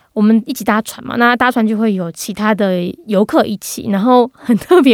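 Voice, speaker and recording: A woman talks at a fairly quick pace in a fairly high pitch, with an ordinary speaking voice. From Taiwan, Gangshan (Kaohsiung). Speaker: podcast host on international news. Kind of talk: interview.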